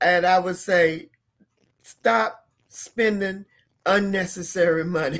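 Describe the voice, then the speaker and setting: Speaking at a very slow pace with long, frequent pauses, a woman uses ordinary pitch variation. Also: medium pitch for a woman. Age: 70s. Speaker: financial educator. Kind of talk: interview conversation.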